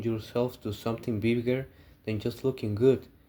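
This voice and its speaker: A man with a non-native accent talks at medium pitch. His tone is dark and mellow, and his pace is moderate. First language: not English. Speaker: student. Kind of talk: class assignment presentation.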